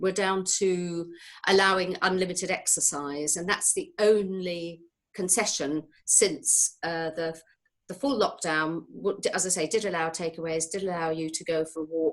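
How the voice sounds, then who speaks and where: Speaking with a British accent, the woman keeps a moderate pace. Her pitch is fairly low, and her intonation is fairly even. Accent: British-sounding. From born outside New Zealand, partly raised in New Zealand. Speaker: occupational therapist. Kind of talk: interview. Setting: video call. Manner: halting, many fillers.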